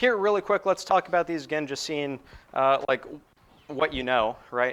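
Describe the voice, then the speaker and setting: This man has an ordinary speaking voice, fairly high in pitch, with lively intonation. He talks at a moderate pace in a dry, close sound with no echo. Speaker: university lecturer. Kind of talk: lecture. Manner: casual, filler-heavy.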